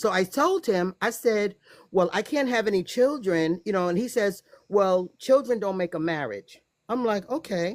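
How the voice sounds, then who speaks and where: An ordinary speaking voice from a woman with an American accent, medium pitch and lively intonation, at a moderate pace in a very clean recording with a silent background. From United States. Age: 60s. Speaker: guest telling personal story. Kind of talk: testimony.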